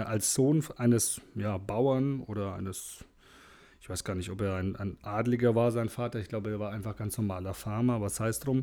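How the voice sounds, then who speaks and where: A man speaks in a fairly low pitch with a dark, mellow tone. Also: ordinary pitch variation, moderate pace. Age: 40s. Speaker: podcast host. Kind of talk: solo monologue. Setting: alone at the microphone.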